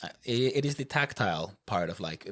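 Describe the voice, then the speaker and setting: Lively intonation from a man with a Swedish accent and medium pitch. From Finland (Finland-Swedish). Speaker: board game podcast co-host. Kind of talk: casual chat.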